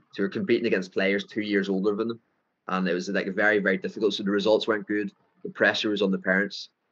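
A man with a fairly low pitch talks at a very fast pace in a monotone with flat intonation. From Northern Ireland. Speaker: football coach. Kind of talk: interview. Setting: video call.

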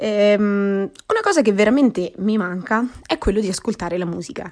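The speaker has a Marche accent and uses ordinary pitch variation. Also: woman. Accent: Marche regional Italian. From Marche, central Italy. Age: 20s. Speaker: podcaster. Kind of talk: casual monologue. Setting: at home during quarantine. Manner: hesitant, with frequent fillers.

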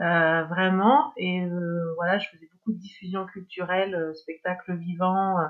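Talking at a fairly slow pace, a woman keeps a medium pitch and fairly even intonation. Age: 50s. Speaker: former cultural sector executive. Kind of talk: testimony. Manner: halting.

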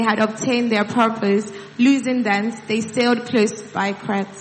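Over noticeable background noise, a woman speaks in a fairly high pitch at a fairly slow pace. Her intonation is monotone and flat. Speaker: scripture reader. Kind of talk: reading aloud. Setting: church.

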